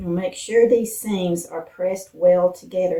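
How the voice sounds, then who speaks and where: A woman with an Appalachian accent speaks at a moderate pace in a medium pitch. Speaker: lifestyle vlogger. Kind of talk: cooking tutorial. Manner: casual, with fillers.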